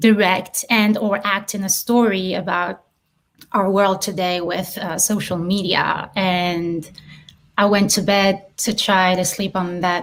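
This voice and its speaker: A woman with a French accent speaks very slowly in a flat, monotone voice at a medium pitch. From southern France, Marseille. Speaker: filmmaker and actress. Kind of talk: interview.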